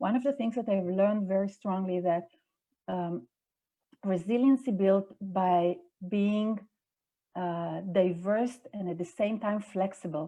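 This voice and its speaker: With an Israeli accent, a woman speaks at a moderate pace, her medium pitch showing ordinary variation. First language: Hebrew. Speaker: executive director of a religious movement. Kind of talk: interview conversation. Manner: halting.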